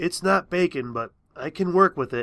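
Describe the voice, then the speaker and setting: Putting on a raspy character voice, a man talks at a high pitch and moderate pace with lively intonation. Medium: read story. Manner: warm, encouraging.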